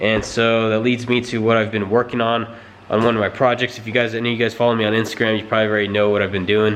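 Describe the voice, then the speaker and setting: A man speaks at a very fast pace in a monotone, flat intonation. Audible room echo surrounds his voice. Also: medium pitch for a man. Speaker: car vlogger. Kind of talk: casual vlog. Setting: garage. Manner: halting, tongue-tied; quiet.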